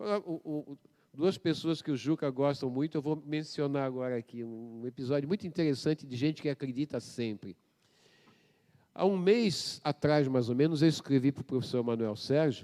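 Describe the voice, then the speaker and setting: At a moderate pace, a man speaks in a fairly high pitch with ordinary variation and a dark, mellow tone. The recording is very clean and dry, close with no echo and a silent background. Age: 70s. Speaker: professor. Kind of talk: public debate. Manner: animated.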